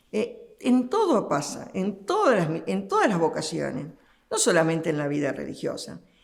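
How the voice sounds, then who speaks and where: With an Argentine accent, a woman speaks at a moderate pace. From Argentina. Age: 70s. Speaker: religious sister. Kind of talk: interview. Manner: halting.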